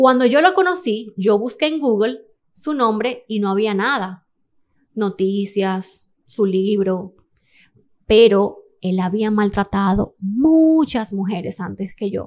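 A woman talks very slowly, her pitch varying in an ordinary way, and the background stays quiet. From Dominican Republic. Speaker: model and interior designer; podcast guest. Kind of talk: testimony. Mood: serious, emotional personal story. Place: studio. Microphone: studio mic.

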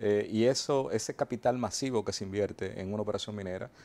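Fairly quick in pace, a man speaks in a fairly low pitch. His tone is dark and mellow. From Dominican Republic, Azua; Dominican Republic. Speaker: mining company executive. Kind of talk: TV interview. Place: studio. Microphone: lapel.

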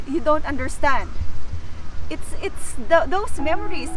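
Clear music plays in the background as a woman speaks in a dry recording with no echo. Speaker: vlogger. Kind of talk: casual vlog chat. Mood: warm, reflective, some laughter. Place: garden. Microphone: camera far.

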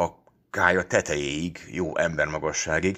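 Against a quiet background, a man speaks at a very slow pace in a warm, stern tone. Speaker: audiobook reader. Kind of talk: literary audiobook reading, first-person story narration with a fatherly voice. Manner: warm, lively storytelling with mock-stern, teasing tones in the dialogue.

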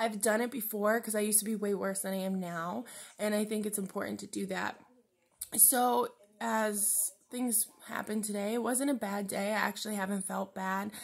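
A woman speaks at a moderate pace, somewhat breathy. Her intonation is monotone and flat. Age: 20s. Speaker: vlogger. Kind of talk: personal video diary. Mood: candid, reflective, personal struggle. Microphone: phone near.

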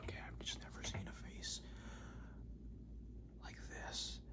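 A man keeps to a moderate pace while loud background noise fills the recording. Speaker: ASMR creator. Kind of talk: ASMR personal attention role play. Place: home room. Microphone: phone near.

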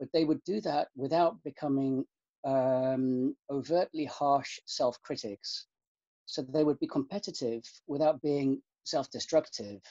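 Against a quiet background, a man with a fairly high pitch speaks at a fairly slow pace with ordinary pitch variation. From UK, countryside. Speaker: university student life officer. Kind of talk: interview. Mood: calm, thoughtful. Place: home room. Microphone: webcam.

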